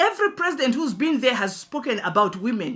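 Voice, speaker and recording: Raised and projected, a woman's high-pitched voice with a bright, sharp tone moves at a fairly quick pace through very wide pitch swings on a very clean recording with a silent background. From Zambia. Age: 60s. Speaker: pastor and businesswoman. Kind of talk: address to the president. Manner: impassioned, emphatic; halting with repetitions.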